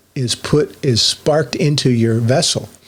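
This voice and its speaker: Very slowly, a man speaks in a somewhat breathy, fairly high-pitched voice with fairly even intonation. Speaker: online religious teacher. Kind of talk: solo monologue teaching.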